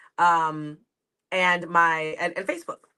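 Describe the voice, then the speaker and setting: A woman's fairly low voice carries a bright, sharp tone and a New York accent. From New York, Long Island. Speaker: comedian. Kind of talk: casual interview chat.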